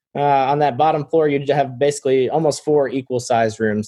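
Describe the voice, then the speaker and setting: A man with a medium pitch speaks at a fairly quick pace with fairly even intonation, in a plain, everyday voice. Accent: American. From Florida. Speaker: property owner and consultant. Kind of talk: interview.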